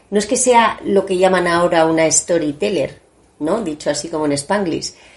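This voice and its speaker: A woman is speaking. Her pace is moderate. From Spain, Asturian family, summers in Asturias. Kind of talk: interview. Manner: halting, many repetitions.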